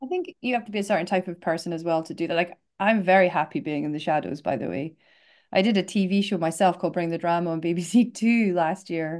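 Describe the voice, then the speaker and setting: A woman with a fairly low pitch talks at a very fast pace, her pitch varying in an ordinary way. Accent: Scottish. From north-east Scotland. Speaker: casting director. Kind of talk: interview answer.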